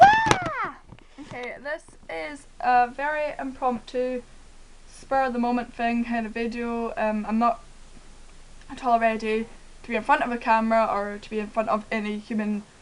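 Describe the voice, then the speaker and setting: A woman talks in a high pitch with ordinary pitch variation. Her pauses are long and frequent. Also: moderate pace. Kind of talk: casual talk to camera.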